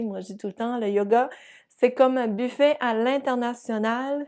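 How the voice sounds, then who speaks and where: Speaking at a moderate pace with a New Brunswick accent, a woman has a dark, mellow tone that is also warm and upbeat. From New Brunswick, Canada. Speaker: yoga teacher and physiotherapist. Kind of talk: casual talk to camera. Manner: warm, upbeat.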